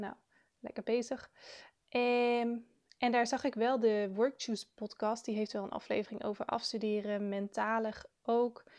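Against a quiet background, a woman with a fairly high pitch speaks at a fairly slow pace with fairly even intonation. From Netherlands, South Limburg. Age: 20s. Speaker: student podcaster. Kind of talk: casual monologue. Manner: hesitant, with filler sounds.

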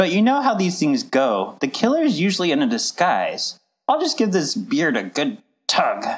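In a theatrical tone, a man with a high voice swings very widely in pitch while keeping his loudness very even. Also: moderate pace. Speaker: actor playing Professor Pear. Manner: hammy, sarcastic, theatrical.

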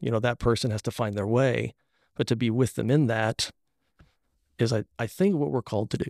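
In a very clean recording with a silent background and a dry, close sound with no echo, a man with a medium pitch, ordinary pitch variation and vocal fry talks at a fairly quick pace broken by long, frequent pauses. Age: 40s. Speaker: minister. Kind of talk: casual chat.

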